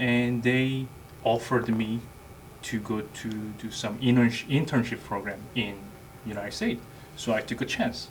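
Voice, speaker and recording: Speaking with a Korean accent, a man keeps a fairly slow pace and fairly even intonation. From South Korea. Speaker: army NCO. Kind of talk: interview.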